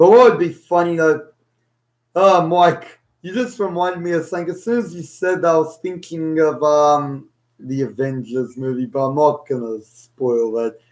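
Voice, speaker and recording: With an Australian accent, a man speaks at a moderate pace and a fairly high pitch, his intonation lively and his loudness swinging widely, on a very clean recording with a silent background. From Australia (Sydney). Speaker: podcast co-host. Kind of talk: casual chat.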